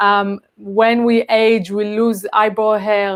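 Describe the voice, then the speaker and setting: In an Israeli accent, a woman talks at a medium pitch with monotone, flat intonation. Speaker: cosmetics entrepreneur. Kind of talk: live stream interview. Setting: live stream.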